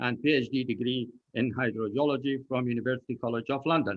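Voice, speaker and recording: A man with an Arabic accent talks at a very fast pace, his medium-pitched voice keeping a fairly even intonation. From Iraq. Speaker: hydrogeology professor. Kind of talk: self-introduction on a panel. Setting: online event.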